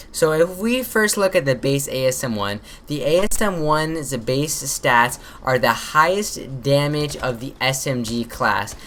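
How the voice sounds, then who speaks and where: A woman speaks with a very deep, low pitch. Her intonation is lively while her pace stays fairly slow. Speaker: gaming YouTuber. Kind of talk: gameplay commentary tutorial. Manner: casual, filler-heavy.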